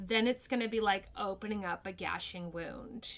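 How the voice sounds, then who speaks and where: A woman speaks at a fairly slow pace in an American accent, her pitch fairly high. Her tone is bright and sharp, with ordinary pitch variation. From New Mexico, US. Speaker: actress. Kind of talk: podcast interview.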